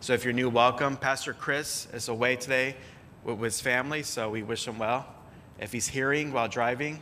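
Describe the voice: Plain reading aloud, nothing more.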